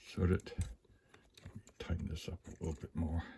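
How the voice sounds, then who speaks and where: The voice belongs to a man and is somewhat breathy. He speaks fairly slowly. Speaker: locksport hobbyist. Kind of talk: tutorial. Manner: casual, some hesitations.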